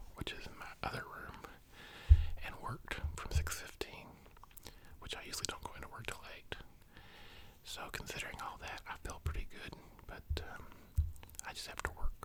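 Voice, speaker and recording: A man whispers at a moderate pace, with long, frequent pauses. Noticeable background noise runs behind him. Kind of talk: whispered ASMR ramble for sleep. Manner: soft-spoken, whispering.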